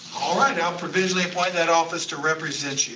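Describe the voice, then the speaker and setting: A man speaks with an American accent. Noticeable background noise and audible room echo come through. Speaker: judge. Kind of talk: court bond hearing. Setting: video link courtroom.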